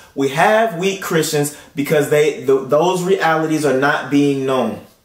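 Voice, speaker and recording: A man with an American accent and a fairly high pitch speaks at a very even loudness with ordinary pitch variation, with audible room echo. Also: fairly slow pace. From Tulsa, United States. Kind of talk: sermon delivery. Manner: earnest, emphatic, persuasive. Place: home room.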